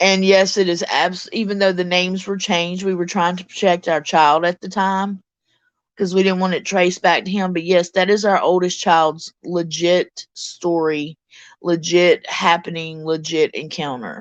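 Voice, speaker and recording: Over a quiet background, a woman with a Mississippi accent and a fairly low pitch speaks in a monotone, flat intonation. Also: moderate pace. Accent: Mississippi Southern US. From US South, Mississippi. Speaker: live streamer and story narrator. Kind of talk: casual live stream chat. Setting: live stream from home with pets.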